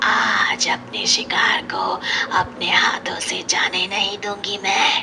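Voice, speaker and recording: A woman uses a cartoonish character voice at a medium pitch. She talks at a very slow pace. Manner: menacing.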